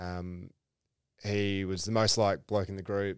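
Someone with an Australian accent speaks at a moderate pace. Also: man, very clean recording, silent background. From Perth, Western Australia. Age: 20s. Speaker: former footballer and teacher. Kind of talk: casual chat.

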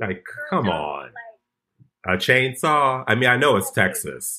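Speaking at a fairly slow pace with an American accent, this voice has a bright, sharp tone, very wide pitch swings and vocal fry. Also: man. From Chicago. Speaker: comedian. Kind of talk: casual chat.

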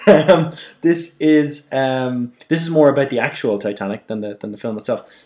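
With an Irish accent, a man talks at a moderate pace in a fairly high pitch, his intonation lively and his loudness swinging widely. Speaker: podcast co-host. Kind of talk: casual chat.

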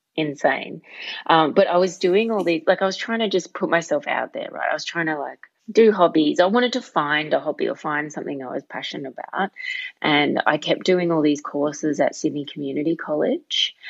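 Using ordinary pitch variation, a woman with an Australian accent talks at a fairly quick pace in a fairly low pitch. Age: 30s. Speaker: stand-up comedian. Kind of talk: casual interview chat.

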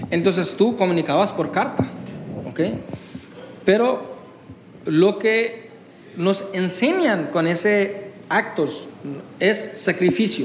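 The speech comes at a very slow pace with long, frequent pauses, very even loudness and ordinary pitch variation, along with audible room echo and noticeable background noise. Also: man, high pitch for a man. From India, West Bengal. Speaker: business consultant. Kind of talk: interview. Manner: halting.

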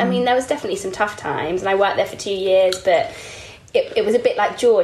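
With an East Anglian accent, a woman speaks over noticeable background noise. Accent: East Anglian English, drops T's. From East Anglia, England. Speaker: beauty editor. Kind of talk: casual chat.

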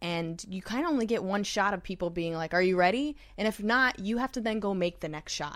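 A woman talks at a fairly quick pace in an American accent, with a normal speaking voice and ordinary pitch variation. The recording is very clean, with a silent background. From New York. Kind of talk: casual chat.

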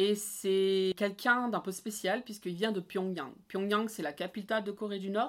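Using a normal speaking voice, a woman talks at a moderate pace and a medium pitch with fairly even intonation and hardly any pauses. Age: 30s. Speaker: expatriate sharing her experience. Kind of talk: casual interview.

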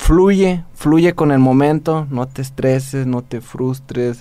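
A man with a Mexican accent speaks at a very slow pace. His pitch is fairly high, and his intonation is fairly even. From Mexico. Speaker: podcast co-host. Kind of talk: casual chat.

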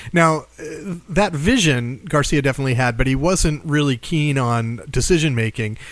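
A man with a fairly high pitch and an unremarkable speaking voice talks with ordinary pitch variation and hardly any pauses. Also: moderate pace. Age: 40s. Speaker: podcast host. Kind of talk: casual interview podcast. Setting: studio in Washington, D.C.

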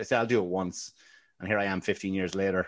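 A man's fairly low voice in a Wexford Irish accent, against a quiet background. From Ireland, Wexford. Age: 40s. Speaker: comedian. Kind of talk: casual chat.

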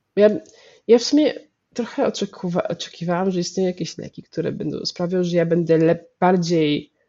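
The speaker is a woman. Her voice is fairly low in pitch. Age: 30s. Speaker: medical anthropologist. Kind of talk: interview.

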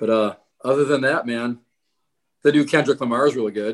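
The man's voice sits at a medium pitch. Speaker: drummer. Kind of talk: casual chat.

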